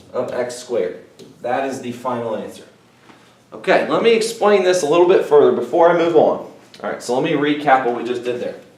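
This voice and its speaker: A man with a fairly high voice talks at a moderate pace amid audible room echo. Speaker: math teacher. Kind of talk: recorded video lesson. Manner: casual, conversational.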